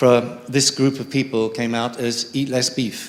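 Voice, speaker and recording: Amid noticeable background noise, a man speaks with an English accent in a monotone, flat intonation. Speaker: audience member. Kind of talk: audience question.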